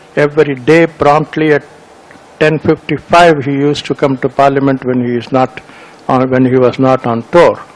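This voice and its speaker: A man's fairly high voice holds a flat monotone at a moderate tempo while background noise is clearly heard. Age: 80s+. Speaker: retired senior civil servant. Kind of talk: speech at a meeting.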